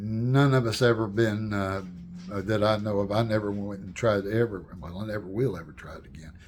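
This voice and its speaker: Audible room echo surrounds a man speaking at a fairly quick pace with a fairly low pitch and fairly even intonation. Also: big swings in loudness. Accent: American. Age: 70s. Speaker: storyteller and channel owner. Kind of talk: casual personal storytelling to camera. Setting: home, with wife's paintings behind. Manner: halting, many fillers and restarts.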